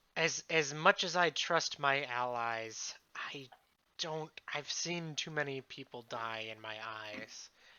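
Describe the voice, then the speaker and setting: A put-on character voice at a low-to-middle pitch. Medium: actual play.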